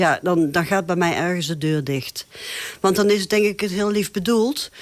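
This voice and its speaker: This woman speaks at a moderate pace with a medium pitch and ordinary pitch variation. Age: 60s. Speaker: teacher and local election candidate. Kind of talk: interview. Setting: studio. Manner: hesitant, many filler sounds.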